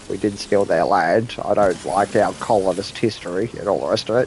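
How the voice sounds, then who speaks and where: There is noticeable background noise behind this man. He speaks at a fairly quick pace with an Australian accent and a fairly low pitch. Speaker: video game streamer. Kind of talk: casual chat. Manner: animated.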